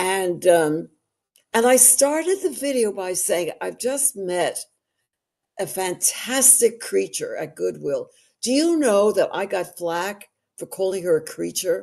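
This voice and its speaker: In a New York accent, a woman talks at a fairly slow pace with a quiet background. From New York City. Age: 80s+. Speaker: actress and social media personality. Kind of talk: interview conversation. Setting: livestream.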